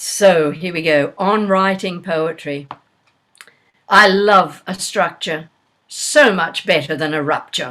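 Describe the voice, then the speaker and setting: A woman with an Australian accent, fairly low in pitch, bright and sharp in tone, at a very slow pace with ordinary pitch variation. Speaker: poet. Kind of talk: poetry reading. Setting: video call.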